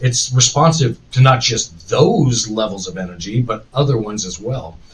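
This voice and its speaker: This man's voice sits at a medium pitch, somewhat breathy, with ordinary pitch variation. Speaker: podcast host. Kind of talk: live stream chat. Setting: live stream.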